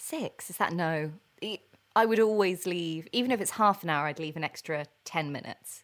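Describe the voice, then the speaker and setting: A woman with an ordinary speaking voice, fairly low pitch, ordinary pitch variation, a moderate pace and big swings in loudness. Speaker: podcast host. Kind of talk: casual chat.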